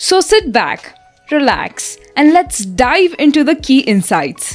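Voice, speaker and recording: Music plays behind a woman who speaks very slowly in a high voice, with very wide pitch swings and very even loudness. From India. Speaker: architecture student. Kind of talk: audiobook book summary narration.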